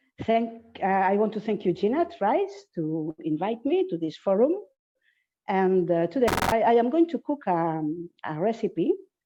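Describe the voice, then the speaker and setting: Speaking fairly slowly, a woman at medium pitch lets her voice swing very widely in pitch. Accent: Spanish. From Spain. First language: Spanish. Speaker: cooking teacher. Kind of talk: cooking class. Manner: halting.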